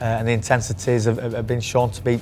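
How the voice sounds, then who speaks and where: A man speaks in a strong northern English accent at a medium pitch. His intonation is monotone and flat, with music in the background. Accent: thick northern English. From northern England. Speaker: cricket team physiotherapist. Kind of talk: interview. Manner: halting, many repetitions.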